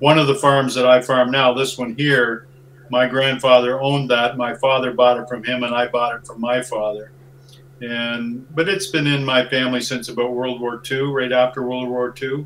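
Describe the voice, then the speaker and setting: Over noticeable background noise, a man with an Ontario accent speaks at a moderate pace in a medium pitch with monotone, flat intonation. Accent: Ontario Canadian English. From southwestern Ontario, Canada. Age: 60s. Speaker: farmer. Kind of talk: interview.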